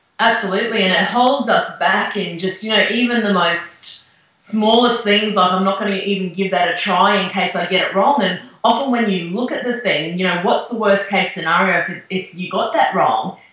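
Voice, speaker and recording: Woman with a North Queensland accent, medium pitch, ordinary pitch variation, a moderate pace and hardly any pauses, in audible room echo amid noticeable background noise. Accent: North Queensland Australian. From Australia, North Queensland. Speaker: author. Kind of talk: interview.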